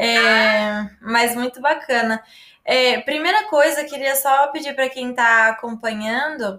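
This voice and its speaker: Fairly slow and fairly even in intonation, a woman talks in a high pitch with a bright, sharp tone. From Brazil, Paraná (Londrina). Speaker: travel influencer, live host. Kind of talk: casual interview.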